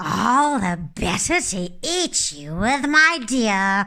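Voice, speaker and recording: Using a put-on character voice, a woman speaks at a very slow pace in a fairly high pitch with very wide pitch swings. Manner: roaring, menacing.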